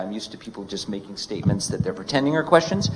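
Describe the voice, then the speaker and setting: A man speaks with lively intonation. Noticeable background noise sits behind him. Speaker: professor, event moderator. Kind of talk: event hosting. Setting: college hall with audience.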